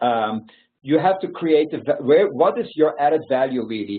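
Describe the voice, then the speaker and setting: A man with a Belgian accent speaks at a fairly quick pace. His pitch is fairly high. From Belgium. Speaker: founder of a youth mentoring nonprofit. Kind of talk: webinar presentation with Q&A. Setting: online webinar. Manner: halting, many fillers.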